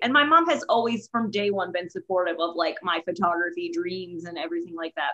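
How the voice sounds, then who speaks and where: At a fairly quick pace, a woman speaks with medium pitch, lively intonation and an animated tone. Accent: American. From Texas. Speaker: wedding photographer. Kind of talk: casual chat.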